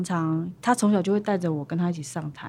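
On a very clean recording with a silent background, a woman with a dark, mellow tone speaks at a fairly quick pace using lively intonation. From Taiwan, Pingtung (Paiwan). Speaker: singer-songwriter. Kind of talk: interview.

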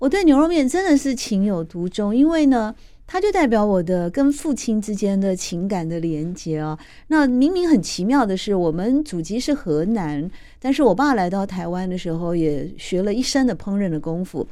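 A woman speaks at medium pitch in a dark, mellow tone, her pitch swinging very widely at a moderate pace. The recording is very clean with a silent background. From Taiwan. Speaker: radio host. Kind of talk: radio interview. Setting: radio studio.

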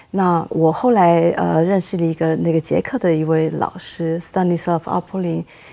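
A woman's fairly low-pitched voice with a dark, mellow tone and fairly even intonation, on a very clean recording with a silent background. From Taiwan. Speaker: cellist. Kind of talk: interview.

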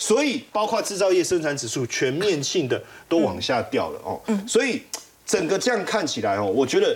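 A man's words come at a moderate pace while noticeable noise sounds in the background. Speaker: financial analyst. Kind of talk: TV panel discussion. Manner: animated.

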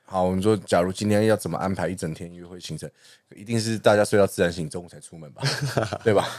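With a Taiwanese accent, a man talks at a very fast pace in a very deep, low pitch, his intonation fairly even but his loudness swinging widely. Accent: Taiwanese Mandarin. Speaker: podcast co-host. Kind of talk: casual chat.

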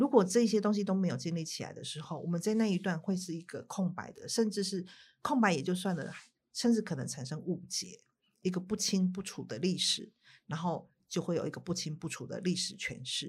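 Speaking at a fairly quick pace, a somewhat breathy woman uses ordinary pitch variation on a very clean recording with a silent background. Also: medium pitch for a woman. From Taiwan. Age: 50s. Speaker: writer and documentary director. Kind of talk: interview.

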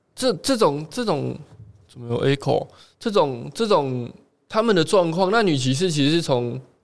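Here a man talks at a moderate pace. His fairly high voice moves through very wide pitch swings. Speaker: podcast co-host. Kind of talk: casual chat.

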